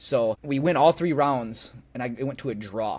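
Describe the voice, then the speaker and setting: Medium in pitch, a man's voice comes through with an American accent. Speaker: bare knuckle fighter. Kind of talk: interview. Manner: loud.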